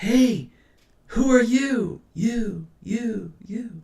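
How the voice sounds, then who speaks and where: Using a put-on character voice, a man speaks at a high pitch. His pitch variation is ordinary. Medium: read story. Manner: whispered, repeating words like an echo.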